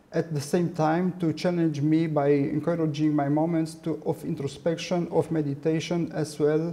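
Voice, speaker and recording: A man with a Romanian accent speaks in a flat monotone at a fairly high pitch, with audible room echo around him. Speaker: artist and art professor. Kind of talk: lecture. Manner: halting.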